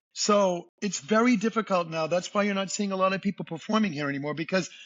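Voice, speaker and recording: Speaking fairly quickly with a Boston accent, a man uses a high pitch and ordinary pitch variation. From US Northeast, Boston. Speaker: singer and entertainer. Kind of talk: podcast interview. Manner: animated.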